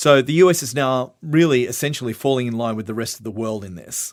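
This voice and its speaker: A man with an unremarkable speaking voice and medium pitch talks at a fairly quick pace with lively intonation. The recording is very clean, with a silent background. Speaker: voice actor. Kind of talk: training video lecture.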